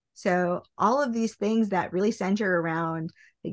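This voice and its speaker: In a plain, everyday voice, a woman with an American accent speaks at a moderate pace with ordinary pitch variation. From US Midwest, small-town Nebraska. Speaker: industrial engineer, business consultant. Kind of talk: podcast interview.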